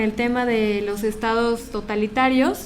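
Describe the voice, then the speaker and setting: A woman with a fairly high pitch and ordinary pitch variation speaks at a fairly slow pace, with audible room echo. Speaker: philosophy lecturer, head of program. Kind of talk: lecture to audience.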